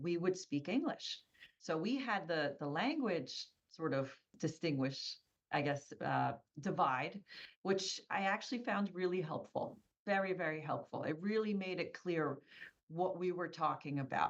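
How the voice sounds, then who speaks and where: Someone with an American accent speaks at a fairly slow pace. The intonation is lively. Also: woman. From US, Polish immigrant family. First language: Polish. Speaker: business owner. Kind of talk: interview.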